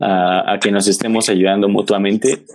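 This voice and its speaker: A man with a Mexican accent speaks with fairly even intonation. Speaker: podcast co-host. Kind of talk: casual interview.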